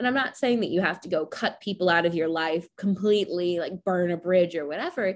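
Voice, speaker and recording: In a very clean recording with a silent background, an unremarkable speaking voice goes along at a fairly quick pace, its pitch varying in an ordinary way. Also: woman, fairly low pitch for a woman. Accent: American. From US. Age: 20s. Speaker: podcast host. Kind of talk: casual interview chat.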